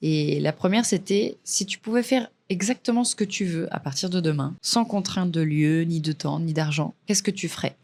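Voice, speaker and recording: A woman talks at a moderate pace in a fairly low pitch with ordinary pitch variation. The recording is very clean, with a silent background. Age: 20s. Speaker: podcast host, freelance videographer. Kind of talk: casual solo podcast monologue. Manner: casual, hesitant with filler words.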